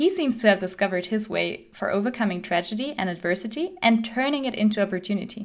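The recording is very clean, with a silent background. A woman with an unremarkable speaking voice talks fairly quickly at a fairly high pitch with lively intonation. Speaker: podcast host. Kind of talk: podcast interview.

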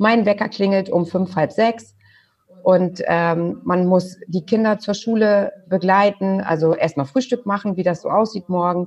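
A woman at a fairly slow pace, somewhat breathy, with ordinary pitch variation. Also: medium pitch for a woman. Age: 40s. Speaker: butcher shop co-owner. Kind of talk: interview.

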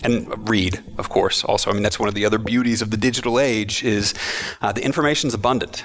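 In an American accent, a man at medium pitch talks at a very fast pace, with noticeable background noise and audible room echo. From Texas, Austin. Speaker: futures educator and facilitator. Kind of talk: interview. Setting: conference event.

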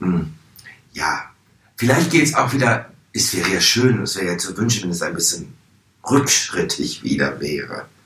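With audible room echo, a man speaks in very wide pitch swings, leaving long, frequent pauses. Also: medium pitch for a man, moderate pace. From Hannover, northern Germany. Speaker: drag performer. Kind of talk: interview.

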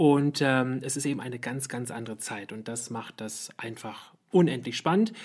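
A woman speaking with ordinary pitch variation. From West Berlin. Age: 30s. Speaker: podcast host, communications lecturer. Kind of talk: casual chat.

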